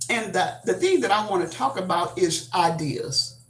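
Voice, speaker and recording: In a room with audible echo, a woman with an American accent speaks with very wide pitch swings. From Texas. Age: 70s. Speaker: YouTube livestreamer. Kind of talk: casual livestream talk. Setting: livestream. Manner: animated, expressive; halting, many fillers.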